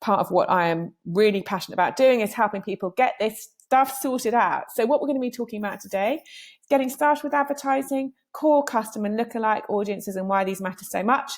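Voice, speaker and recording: Energetic in tone, a woman with a fairly high pitch talks at a very fast pace with ordinary pitch variation. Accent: British. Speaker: digital marketing trainer. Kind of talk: presentation.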